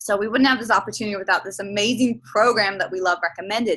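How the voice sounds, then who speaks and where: A woman with an Australian accent speaks at a very fast pace in a bright, sharp, enthusiastic tone against a quiet background. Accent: Australian, noticeable to overseas listeners. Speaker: personal trainer and health coach. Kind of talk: online sales presentation.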